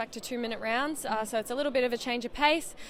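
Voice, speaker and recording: Noticeable background noise sits under a woman talking at a very fast pace in an Australian accent. Her pitch is high, with ordinary variation. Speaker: professional boxer. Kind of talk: interview. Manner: hesitant, many fillers.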